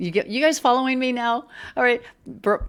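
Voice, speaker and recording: A woman's voice with lively intonation on a very clean recording with a silent background. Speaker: political news podcast host. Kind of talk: casual news commentary.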